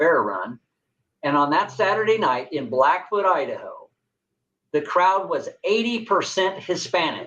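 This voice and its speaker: Lively intonation marks this man's speech in a Southwest US accent. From New Mexico. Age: 60s. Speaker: political candidate. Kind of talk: interview.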